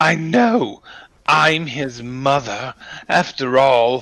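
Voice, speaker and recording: In a put-on character voice with a hissing quality, the speaker talks at a very slow pace at a low-to-middle pitch. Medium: actual play. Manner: hissing, spitting.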